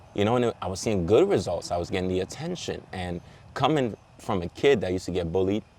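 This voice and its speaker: Speaking at a very fast pace, a man with a Caribbean accent uses a very deep, low pitch with ordinary pitch variation. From Trinidad and Belize. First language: Caribbean Patois. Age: 20s. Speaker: model. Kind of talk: casual chat.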